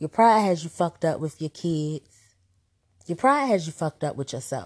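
An animated speaker with an American accent talks at a moderate pace. The sound is dry and close with no echo, over a quiet background. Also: woman. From Washington DC area. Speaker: podcast host. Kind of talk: monologue.

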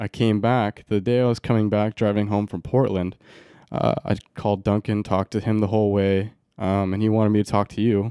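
In a very clean recording with a silent background and a dry, close sound with no echo, a man with an American accent talks at a fairly quick pace in a fairly low-pitched, dark, mellow voice with monotone, flat intonation. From Oregon, US. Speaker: college javelin thrower and podcast co-host. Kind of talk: casual chat.

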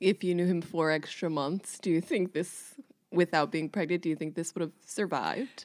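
A woman with an ordinary speaking voice talks at a moderate pace. Her pitch is fairly low, with ordinary pitch variation. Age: 30s. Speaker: podcast host interviewing her mother. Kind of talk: casual chat.

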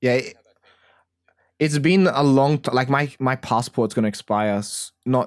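A man speaks with an Australian accent in a dry, close recording with no echo, very clean and against a silent background. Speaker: podcast co-host. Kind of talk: casual chat.

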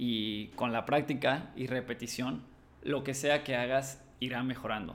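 Speaking with a Mexican accent, a man uses medium pitch with ordinary pitch variation. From Mexico, Cancún. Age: 20s. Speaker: podcast host, creative studio owner. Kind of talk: solo podcast monologue. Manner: hesitant fillers.

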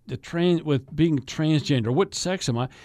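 In a very clean recording with a silent background, a man with a normal speaking voice and a fairly high pitch talks at a moderate pace. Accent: American. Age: 50s. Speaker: radio host and state politician. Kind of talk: casual chat. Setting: studio.

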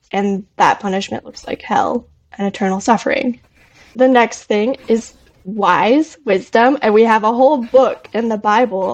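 With an American accent, a woman in an unremarkable speaking voice talks at a fairly high pitch, her loudness swinging widely while her pitch varies normally. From Arizona. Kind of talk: biblical discussion. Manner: casual with frequent fillers.

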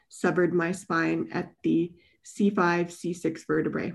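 A woman speaks with a Western Canadian accent. Her pitch is fairly low, and the background is quiet. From British Columbia, Canada. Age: 30s. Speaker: wheelchair user with spinal cord injury. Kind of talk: interview.

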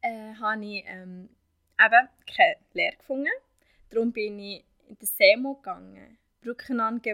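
Long, frequent pauses break up a woman's fairly slow speech. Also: fairly high pitch for a woman, ordinary pitch variation. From Syria. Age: 20s. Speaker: vocational trainee. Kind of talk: interview. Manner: halting.

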